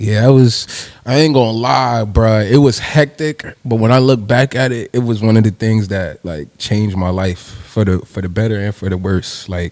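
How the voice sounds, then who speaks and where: With an American accent, a man talks at a moderate pace using ordinary pitch variation. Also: medium pitch for a man. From New Jersey, part of childhood in Nigeria. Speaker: rapper. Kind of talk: casual interview.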